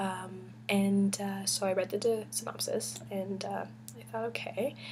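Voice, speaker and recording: At a fairly slow pace, a woman is whispering. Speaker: book vlogger. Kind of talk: casual chat. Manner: hesitant, many fillers.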